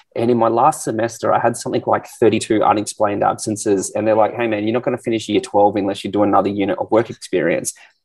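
Talking at a very fast pace, a man uses a medium pitch with an Australian accent. His intonation stays fairly even. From Australia, Canberra. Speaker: fitness entrepreneur and influencer. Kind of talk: casual interview.

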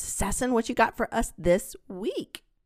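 A woman's fairly high, animated voice with vocal fry and very wide pitch swings, on a very clean recording with a silent background. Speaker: academic researcher and podcast host. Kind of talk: casual chat.

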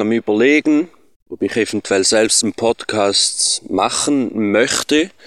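In a Swiss German accent, the speaker has a calm tone and a very slow pace, recorded very cleanly against a silent background with a dry, close sound and no echo. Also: man. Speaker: listener, reggae DJ. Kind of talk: voice message. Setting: recorded voice message. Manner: calm and slow.

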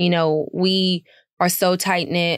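Flat, monotone intonation from a woman at a fairly low pitch, on a very clean recording with a silent background and a dry, close sound with no echo. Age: 20s. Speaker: singer, cookbook author and entrepreneur. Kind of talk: casual interview. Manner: frequent fillers, casual.

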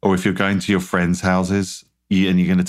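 Fairly quick speech on a very clean recording with a silent background. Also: man. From British Isles. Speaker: food company founder. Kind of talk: interview. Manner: charismatic.

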